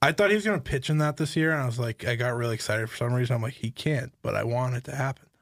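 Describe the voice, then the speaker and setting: The speech runs at a very fast pace with hardly any pauses and sounds somewhat breathy. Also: man, medium pitch for a man, ordinary pitch variation. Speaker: podcast host. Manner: playful banter, interrupts.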